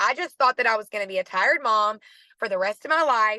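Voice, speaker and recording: Recorded with a dry, close sound and no echo, a woman talks in an animated tone. She has a Southern US accent and ordinary pitch variation. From Arkansas, US South. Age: 30s. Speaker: network marketing team leader. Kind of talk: team call motivational talk.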